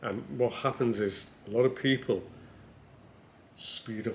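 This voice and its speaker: This man talks in a monotone. His intonation stays flat. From Liverpool, northern England. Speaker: business coach. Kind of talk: casual chat.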